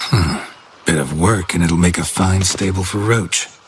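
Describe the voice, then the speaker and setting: A man uses a put-on character voice with a very deep, low pitch. His pace is moderate. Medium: machinima. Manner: terse, dry, clipped.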